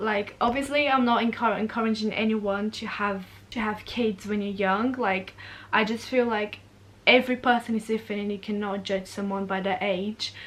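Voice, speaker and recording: Noticeable background noise sits behind this woman's fairly high voice. Her intonation stays fairly even. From Brazil. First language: Portuguese. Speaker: vlogger. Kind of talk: casual Q&A vlog. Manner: chatty, fast.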